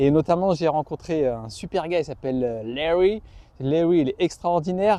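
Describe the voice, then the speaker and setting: A man talks with a fairly high pitch. His pace is moderate, and his pitch variation is ordinary. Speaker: YouTuber, boxing coach. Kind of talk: casual vlog talk to camera. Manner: animated.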